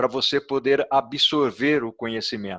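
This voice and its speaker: A man speaks with ordinary pitch variation in a very clean recording with a silent background and a dry, close sound with no echo. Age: 60s. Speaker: author and logistics expert. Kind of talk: interview. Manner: hesitant, many filler sounds.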